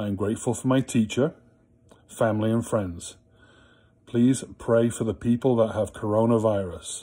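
Against a quiet background, a man talks at a moderate pace with a warm, playful tone that is dark and mellow, his intonation fairly even. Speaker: school prayer leader. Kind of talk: school morning prayer, led with the children's prayers and a Hail Mary. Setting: recorded video message to students at home. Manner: warm, playful and teacherly, then reverent and fervent in prayer. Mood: calm, warm. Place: home room. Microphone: phone near.

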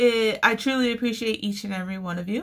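The woman's tone is bright and sharp. Nothing much stirs behind her. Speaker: crochet channel host. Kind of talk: casual vlog chat. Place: home room. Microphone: phone near.

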